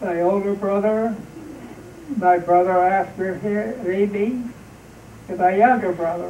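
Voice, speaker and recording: Against noticeable background noise, a man with a high pitch speaks at a very slow pace, with long, frequent pauses and fairly even intonation. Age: 80s+. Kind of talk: interview answer. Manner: hesitant, rambling.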